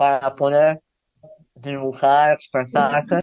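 A man is talking. The recording sounds dry and close, with no echo. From Zan, Yucatán, Mexico. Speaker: visual artist. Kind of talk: interview.

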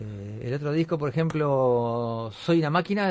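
A man with a normal speaking voice, medium pitch and lively intonation, in a quiet background. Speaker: radio host. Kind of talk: casual chat.

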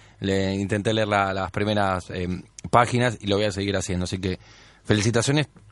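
Fairly even intonation and a fairly quick pace mark a normal speaking voice. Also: man, fairly low pitch for a man. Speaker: radio host. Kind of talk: radio show chat.

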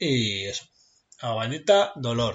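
Speaking at a very slow pace, a man uses lively intonation at a medium pitch. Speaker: podcast co-host. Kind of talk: casual chat.

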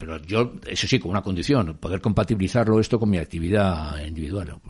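A man with lively intonation. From Spain, Madrid. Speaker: former record industry executive. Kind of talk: interview. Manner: halting, with many repetitions.

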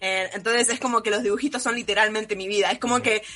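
Noticeable background noise is present. A woman speaks with ordinary pitch variation. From Argentina. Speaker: anime content creator. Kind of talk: casual chat.

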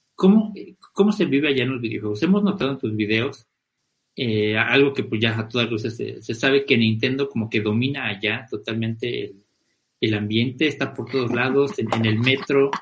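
With ordinary pitch variation and a somewhat breathy quality, a man of medium pitch talks at a moderate pace. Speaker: podcast host. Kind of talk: casual chat.

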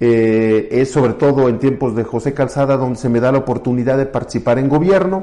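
Moderate pace from a man, medium in pitch, with a dark, mellow tone. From Mexico, Querétaro. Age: 40s. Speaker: lawyer and politician. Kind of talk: interview.

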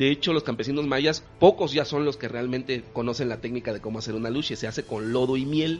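A man with a medium-pitched voice talks at a very fast pace. He leaves hardly any pauses. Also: ordinary pitch variation. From Mexico, Campeche. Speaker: podcast host, former hotel industry worker. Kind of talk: casual chat.

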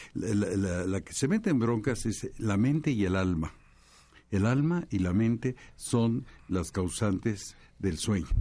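A man speaks at a fairly low pitch in a dark, mellow tone. His pace is fairly slow, and his intonation is lively. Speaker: astrologer and physician. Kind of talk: panel discussion.

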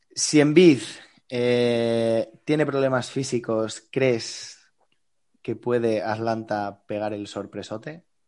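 Against a quiet background, a man of medium pitch speaks at a very slow pace, his loudness swinging widely. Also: ordinary pitch variation. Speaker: sports podcast co-host. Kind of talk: casual chat.

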